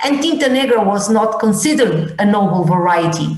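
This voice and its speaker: Amid noticeable background noise and audible room echo, a woman with a Portuguese accent speaks in a fairly high pitch with ordinary pitch variation. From Madeira, Portugal. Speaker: wine institute presenter. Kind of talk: masterclass presentation. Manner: halting, many fillers and repeats.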